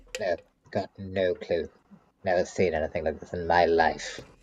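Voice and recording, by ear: A man does a put-on character voice at a moderate pace. The voice sounds strained.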